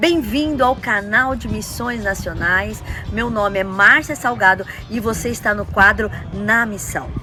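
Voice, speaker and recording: Music plays behind a woman speaking at a fairly slow pace. Her pitch is medium with ordinary variation. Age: 60s. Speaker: missionary. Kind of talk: testimony.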